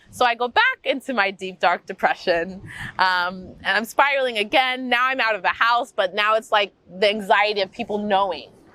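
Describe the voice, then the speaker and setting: A woman speaks in a normal speaking voice at a fairly high pitch. Her pace is moderate and her intonation lively. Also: dry, close sound with no echo. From US Midwest, Wichita, Kansas. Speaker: movement coach and yoga instructor. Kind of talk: interview, personal life story. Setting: outdoors in a park. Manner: casual, many fillers (um, like).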